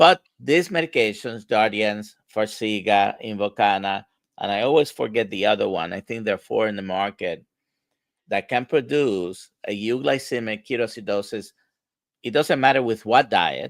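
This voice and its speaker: A man's plain, everyday voice at medium pitch, moderate pace and ordinary pitch variation, with a dry, close sound with no echo. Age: 60s. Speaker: medical doctor, livestream host. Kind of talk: live Q&A discussion. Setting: livestream video call.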